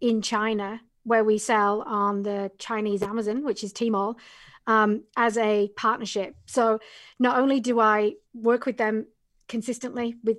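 Against a very clean, silent background, a woman with an English accent speaks in a fairly high pitch with monotone, flat intonation. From England. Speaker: Amazon business coach. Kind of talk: casual interview.

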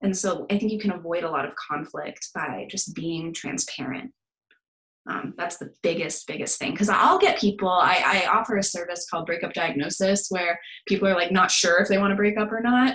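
A woman with a General American accent uses a plain, everyday voice at a medium pitch with ordinary pitch variation. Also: fairly quick pace. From US, Denver, Colorado. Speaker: therapist. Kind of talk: casual interview chat.

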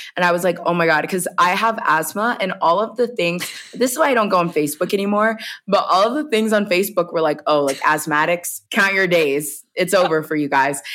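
Speaking with an American accent, a woman moves at a fairly quick pace in an animated tone with lively intonation. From US South, rural Georgia. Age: 20s. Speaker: travel content creator. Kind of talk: casual interview chat. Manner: animated storytelling, many 'like' fillers.

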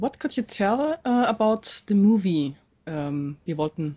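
With a German accent, a woman talks at a fairly slow pace. Her medium-pitched voice makes very wide pitch swings. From Dresden, East Germany. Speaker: interviewer. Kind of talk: interview. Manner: halting.

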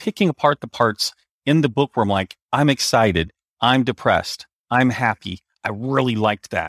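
With lively intonation, a man talks at a fairly quick pace and a medium pitch. The recording is very clean and dry, with a silent background, a close sound and no echo. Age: 50s. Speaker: author. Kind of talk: interview. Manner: halting.

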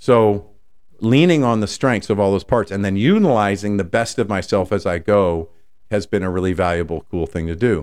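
A man with an unremarkable speaking voice uses a fairly low pitch and ordinary pitch variation, talking at a moderate pace. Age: 50s. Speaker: podcast host and life coach. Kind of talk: solo podcast monologue.

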